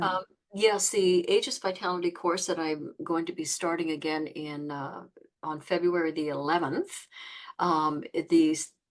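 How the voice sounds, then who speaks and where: A woman speaks in a normal speaking voice at a fairly low pitch and a moderate pace over a quiet background. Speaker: qigong teacher. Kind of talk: interview host, casual talk.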